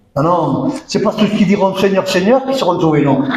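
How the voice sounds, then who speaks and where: A man speaks with audible room echo around him. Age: 60s. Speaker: pastor. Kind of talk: sermon. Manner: animated, emphatic.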